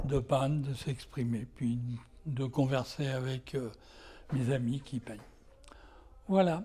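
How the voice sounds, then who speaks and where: Somewhat breathy and dark, mellow in tone, a man speaks at medium pitch with ordinary pitch variation, very slowly, with long, frequent pauses. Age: 80s+. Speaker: amateur painter. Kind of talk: interview. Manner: hesitant.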